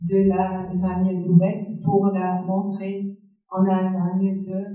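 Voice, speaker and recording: A woman at medium pitch with a non-native accent, a very slow pace, and audible room echo. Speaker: foundation director. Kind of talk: public talk with slides. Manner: halting.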